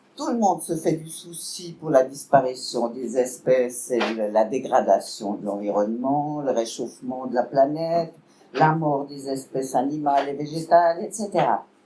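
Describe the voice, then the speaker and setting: Fairly slow speech with big swings in loudness over noticeable background noise. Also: woman, very deep, low pitch for a woman, lively intonation. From Switzerland, canton of Vaud. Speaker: political speaker, party member. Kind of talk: public lecture.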